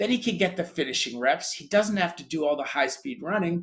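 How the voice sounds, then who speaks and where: A man with an American accent talks at a fairly quick pace and a high pitch. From grew up in Europe, American. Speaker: sports tech company founder. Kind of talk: interview.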